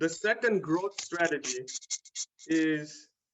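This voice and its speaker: A man with a non-native accent talks at a high pitch with ordinary pitch variation. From Tanzania, East Africa. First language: not English. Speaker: small business owner. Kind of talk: talk to a community club. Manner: hesitant, many fillers.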